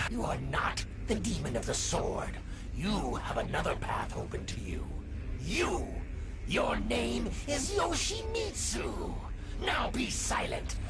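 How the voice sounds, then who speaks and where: Shouting in a put-on character voice at a fairly slow pace, the speaker competes with loud background noise. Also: man. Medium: machinima. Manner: grave, solemn.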